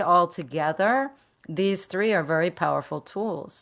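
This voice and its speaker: A woman speaks in a plain, everyday voice with ordinary pitch variation. Her pace is moderate, and the background is quiet. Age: 60s. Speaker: meditation teacher and business coach. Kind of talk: interview.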